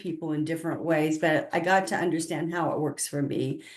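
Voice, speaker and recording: A woman with a fairly low voice and an American accent, at a moderate pace, with audible room echo. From US South, southern Appalachia / southern Kentucky. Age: 60s. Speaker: spiritual consultant and author. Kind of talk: interview.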